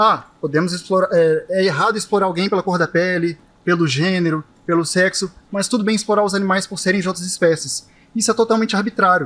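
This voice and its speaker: Talking at a fairly quick pace, the man has a high pitch. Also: ordinary pitch variation. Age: 20s. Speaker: vegan activist debater. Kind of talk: heated debate. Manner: animated.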